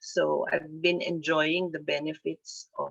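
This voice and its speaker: A very slow pace in a dry, close sound with no echo. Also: woman. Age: 60s. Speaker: webinar lecturer. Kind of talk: lecture. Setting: webinar. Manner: halting, with frequent fillers.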